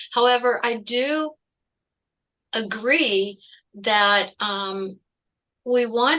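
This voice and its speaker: With ordinary pitch variation, a woman speaks in a bright, sharp tone. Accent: American. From Ohio, US Midwest. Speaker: executive coach. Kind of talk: interview.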